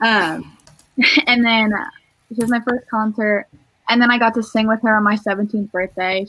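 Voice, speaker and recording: A woman with a General American accent speaks at a medium pitch in a bright, sharp tone. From Northern California. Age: young. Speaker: singer-songwriter. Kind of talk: interview.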